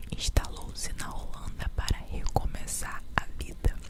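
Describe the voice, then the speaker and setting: Whispering comes through against noticeable background noise. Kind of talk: ASMR whispered fact narration. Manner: whispered, soft.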